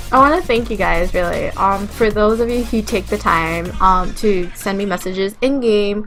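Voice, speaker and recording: With music in the background, a woman speaks at a moderate pace and medium pitch. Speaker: gaming YouTuber. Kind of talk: casual commentary to viewers. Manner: flat, low-energy delivery; hesitant, many fillers and restarts.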